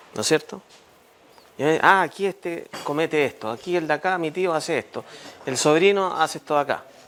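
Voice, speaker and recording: Speaking fairly quickly and with ordinary pitch variation, a man uses a fairly high voice over noticeable background noise. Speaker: lawyer giving a civics talk. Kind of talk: public talk to neighbours.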